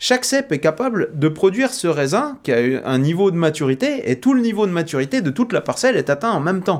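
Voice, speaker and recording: A man talks at a fairly quick clip. His pitch swings very widely. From eastern France, Doubs (Jura). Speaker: winemaker. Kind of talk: interview. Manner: hesitant, with frequent fillers.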